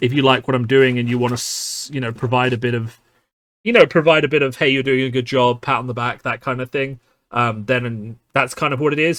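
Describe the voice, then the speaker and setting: Speaking fairly quickly with a British accent, a man keeps a medium pitch and ordinary pitch variation. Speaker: card game youtuber. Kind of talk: casual podcast monologue. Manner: many filler words.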